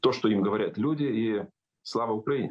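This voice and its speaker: Speech moves at a moderate pace with ordinary pitch variation. The background is quiet. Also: man. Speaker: sociologist and communications expert; guest. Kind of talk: live interview. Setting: remote call into live broadcast. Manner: halting, with fillers and repetitions. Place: home room. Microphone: unstable connection, call dropped; video call.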